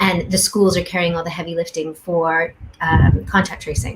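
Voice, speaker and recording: A woman with a Canadian accent speaks in a fairly low voice. Her intonation stays fairly even over noticeable background noise. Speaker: education researcher. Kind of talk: panel discussion. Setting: video call.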